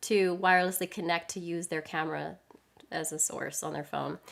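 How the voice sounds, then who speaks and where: Her tone animated, a woman talks at a fairly quick pace. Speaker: live streaming tech presenter. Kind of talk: live stream product demo. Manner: fast.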